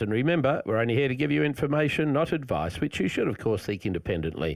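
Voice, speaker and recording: At a medium pitch, a man talks very fast with vocal fry, very wide pitch swings and very even loudness. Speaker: radio host. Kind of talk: radio interview. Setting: radio studio.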